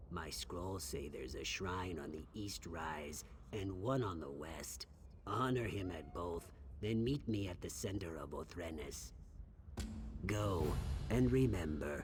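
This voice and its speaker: Using a put-on character voice, a man speaks at a fairly slow pace with a very deep, low pitch over clear background noise. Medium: video game. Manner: nervous, hesitant.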